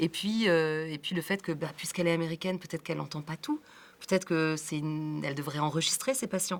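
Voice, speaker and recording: Speaking at a very fast pace, a woman with a fairly low pitch shows ordinary pitch variation. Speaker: film director. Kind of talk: interview.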